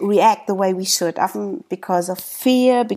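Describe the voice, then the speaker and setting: A woman's dark, mellow, medium-pitched voice with ordinary pitch variation, on a very clean recording with a silent background. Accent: German. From Germany. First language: German. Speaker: podcast host. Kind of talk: interview.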